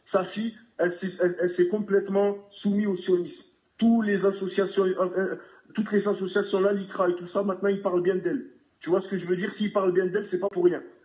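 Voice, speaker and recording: The speaker talks at a fairly quick pace in a slight southern French accent, with monotone, flat intonation. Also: man, high pitch for a man. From southern France. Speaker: caller. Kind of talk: heated call-in discussion. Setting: phone call. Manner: halting, repeats words.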